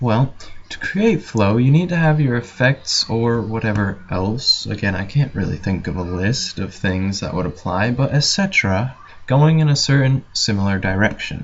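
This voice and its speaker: The intonation is lively and the pace moderate. Noticeable background noise can be heard. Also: man, medium pitch for a man. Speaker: graphic design tutorial maker. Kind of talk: screen-recorded tutorial commentary. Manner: hesitant, many filler words.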